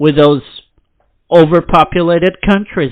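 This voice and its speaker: Speaking at a fairly slow pace, a man uses a high voice. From Brazil. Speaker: podcast host. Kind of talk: unscripted political rant. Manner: animated; halting.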